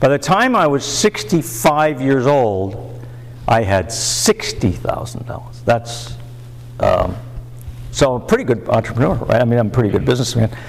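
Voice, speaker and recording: Noticeable background noise behind a man's fairly slow speech. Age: 70s. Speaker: recovering alcoholic speaker. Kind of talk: recovery meeting talk. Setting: meeting with audience. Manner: halting.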